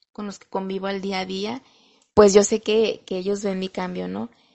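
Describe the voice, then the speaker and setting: A woman with an ordinary speaking voice, medium pitch and fairly even intonation. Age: 30s. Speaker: recovery group member sharing testimony. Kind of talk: testimony.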